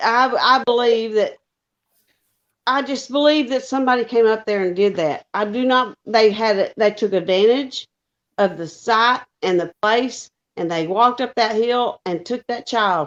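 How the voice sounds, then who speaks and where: Against a quiet background, a woman speaks at a moderate pace with a fairly high pitch and ordinary pitch variation. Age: 50s. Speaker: caller on a live stream panel. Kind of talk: heated opinionated discussion. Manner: emphatic, repetitive.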